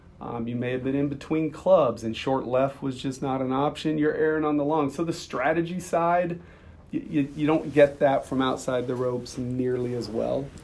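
Fairly high in pitch, this man has a normal speaking voice. He keeps a moderate pace and fairly even intonation. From US Midwest. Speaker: sports business executive, former caddie. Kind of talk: casual interview chat.

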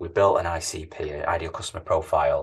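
A man speaks with a Manchester accent. The background is quiet. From Manchester, England. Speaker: tech company CEO. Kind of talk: interview conversation.

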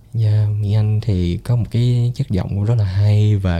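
A man's fairly low, somewhat breathy voice with a dark, mellow tone, fairly even intonation and a fairly slow pace. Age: 20s. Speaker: entrepreneur. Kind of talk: casual chat.

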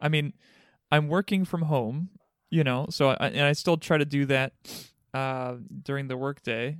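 Speaking fairly slowly, a man with a normal speaking voice and fairly high pitch keeps fairly even intonation in a very clean recording with a silent background. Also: dry, close sound with no echo. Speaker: pastor. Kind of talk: casual chat.

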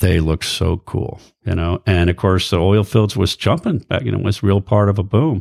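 On a very clean recording with a silent background, a man with an American accent and a normal speaking voice talks at a moderate pace and fairly low pitch with ordinary pitch variation. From US, Air Force bases all over. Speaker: ship captain. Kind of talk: casual interview chat. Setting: host's living room.

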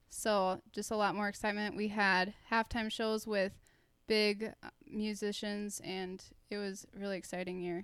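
A woman speaks in a flat monotone at a moderate pace, recorded very cleanly against a silent background. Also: medium pitch for a woman. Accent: American. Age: 20s. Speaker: professional dancer. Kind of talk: interview.

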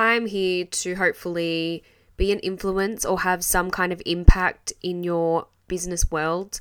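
A woman with a fairly low pitch speaks in an Australian accent. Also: very clean recording, silent background. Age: 20s. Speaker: podcast host and small business owner. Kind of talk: solo podcast monologue. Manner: animated.

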